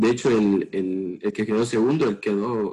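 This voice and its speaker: With a Salvadoran accent, a man of medium pitch talks at a fairly slow pace in a dark, mellow tone. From El Salvador. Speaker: pole vaulter and university student. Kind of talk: interview.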